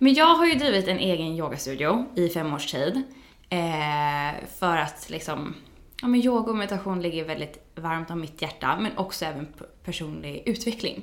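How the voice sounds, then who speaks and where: Over audible room echo, a woman speaks at a moderate pace with a fairly low pitch and lively intonation. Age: 30s. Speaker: yoga teacher. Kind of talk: casual chat.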